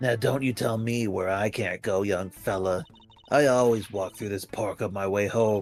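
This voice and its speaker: Putting on a character voice, a man speaks at a moderate pace with a fairly low pitch. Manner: defiant, indignant.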